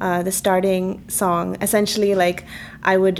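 A woman's medium-pitched voice, monotone and flat, at a moderate pace. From Jakarta, Indonesia and Dubai. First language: Malayalam. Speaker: film director. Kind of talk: interview. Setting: studio.

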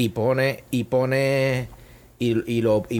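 A man's medium-pitched voice with a Puerto Rican accent and ordinary pitch variation. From Puerto Rico, Bayamón. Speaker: chef and food business owner. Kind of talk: casual interview. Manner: halting, many repetitions.

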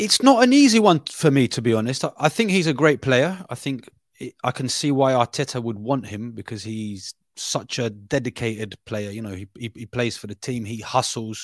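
A London accent with big swings in loudness and ordinary pitch variation. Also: man, medium pitch for a man, moderate pace, dry, close sound with no echo, very clean recording, silent background. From Brazil, raised in London from age ten. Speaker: football journalist. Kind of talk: casual football analysis chat. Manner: halting, many fillers and repeats.

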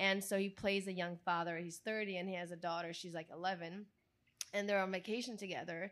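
Her medium-pitched voice moves at a fairly quick pace, this woman keeping a monotone, flat intonation. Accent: Italian. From Italy. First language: Italian. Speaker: actress, model and filmmaker. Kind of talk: casual interview chat. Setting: live event with audience.

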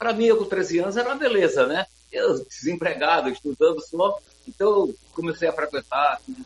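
The man's pitch is high and his intonation lively. His pace is moderate. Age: 70s. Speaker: journalist and author. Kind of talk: casual interview. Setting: video call. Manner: halting, many repetitions.

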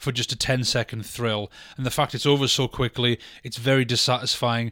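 Recorded very cleanly with a silent background and a dry, close sound with no echo, a man with a British accent speaks at a fairly quick pace and a medium pitch, his bright, sharp tone held in monotone, flat intonation. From Britain. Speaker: film podcast co-host. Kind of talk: casual chat.

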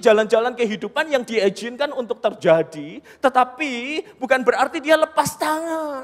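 With an animated tone, a man speaks at an extremely high pitch and lively intonation. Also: hardly any pauses. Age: 40s. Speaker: preacher. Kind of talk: sermon.

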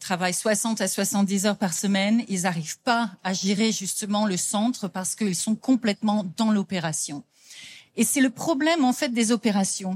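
A somewhat breathy woman's voice at medium pitch with ordinary pitch variation, in a very clean recording with a silent background. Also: moderate pace, dry, close sound with no echo. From France. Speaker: business coach. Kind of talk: conference talk.

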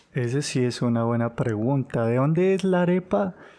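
A man speaks fairly slowly at a medium pitch, with a dark, mellow tone. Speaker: podcast co-host. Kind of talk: casual chat.

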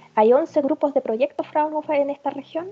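Dry, close sound with no echo around a woman's dark, mellow tone. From northern Germany. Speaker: trade representative. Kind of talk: interview.

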